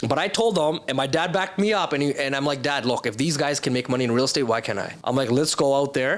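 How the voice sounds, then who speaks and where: With a Canadian accent, a man talks at a fairly quick pace in an animated tone with ordinary pitch variation. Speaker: entrepreneur. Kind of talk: podcast interview.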